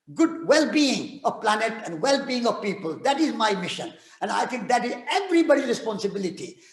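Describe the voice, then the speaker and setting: With noticeable background noise, a man talks fairly quickly at an extremely high pitch, his voice swinging very widely. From India (Rajasthan). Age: 80s+. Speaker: peace activist and author. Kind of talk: talk and audience Q&A. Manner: halting with repetitions.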